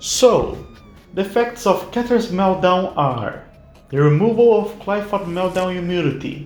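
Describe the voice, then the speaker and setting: The speaker talks at a fairly slow pace with a non-native accent while music plays in the background. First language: not English. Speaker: gaming YouTuber. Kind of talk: tutorial.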